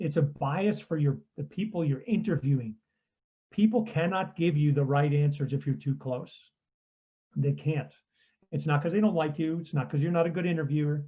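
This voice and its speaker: This man's voice sits fairly high, somewhat breathy, with ordinary pitch variation. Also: moderate pace. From Austria. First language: German. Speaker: customer research consultant. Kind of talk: conference talk.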